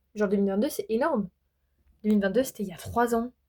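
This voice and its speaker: A woman talks in an animated tone with ordinary pitch variation. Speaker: beauty vlogger. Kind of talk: casual chat. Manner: fast.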